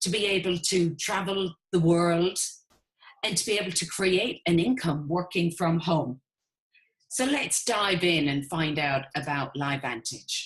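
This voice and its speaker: Enthusiastic and somewhat breathy, a woman with an Irish accent speaks at a fairly slow pace in a fairly low pitch with lively intonation. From Ireland. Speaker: network marketing business owner. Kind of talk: webinar sales presentation.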